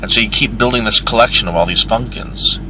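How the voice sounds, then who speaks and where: A man talks with an American accent. Noticeable background noise can be heard. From Michigan, US. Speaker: truck driver and vlogger. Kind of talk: casual vlog monologue. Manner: rambling, casual with fillers.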